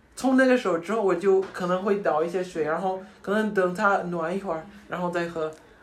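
Against noticeable background noise, a man with a high voice talks at a fairly quick pace with hardly any pauses and fairly even intonation. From United States. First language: English (speaking Chinese). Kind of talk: casual interview. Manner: hesitant, with fillers.

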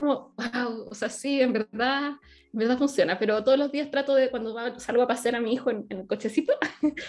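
A woman talks at a fairly quick pace with a high pitch. Her intonation stays fairly even while her loudness swings a lot. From Chile. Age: 30s. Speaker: online business coach. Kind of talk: interview.

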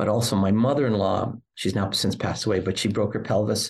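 With fairly even intonation, a somewhat breathy man speaks at a fairly quick pace. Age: 60s. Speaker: podcast host. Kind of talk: interview chat.

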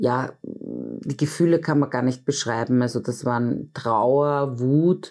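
A woman talks at a very slow pace. Her pitch is very deep and low. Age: 40s. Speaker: intensive care nurse and bereaved mother. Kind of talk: interview testimony.

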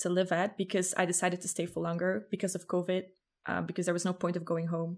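Speaking in a Flemish accent, the woman keeps a monotone, flat intonation at a medium pitch. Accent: Flemish Dutch-accented English. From Belgium, Ghent. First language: Dutch. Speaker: podcaster. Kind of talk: casual chat. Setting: video call.

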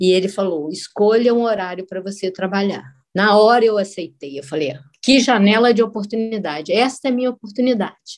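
A woman speaks at a medium pitch with ordinary pitch variation. She has an unremarkable speaking voice. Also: hardly any pauses. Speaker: civil engineer. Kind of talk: personal testimony.

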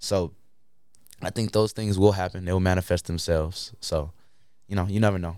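In a very clean recording with a silent background, a man with an American accent speaks at a fairly quick pace in a very deep, low, monotone voice with flat intonation and long, frequent pauses. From Chicago, Illinois. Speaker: rapper. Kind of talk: casual interview chat. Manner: halting, many fillers and repeats.

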